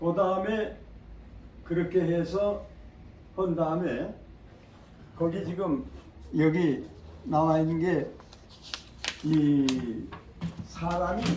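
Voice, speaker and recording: A man speaks at a high pitch and a very slow pace. His pitch variation is ordinary, and his pauses are long and frequent. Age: 80s+. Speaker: qigong instructor. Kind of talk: lecture to audience. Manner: casual, conversational.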